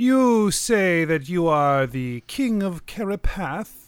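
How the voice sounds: Delivered at a very slow pace, a put-on character voice sits at middle pitch on a very clean recording with a silent background.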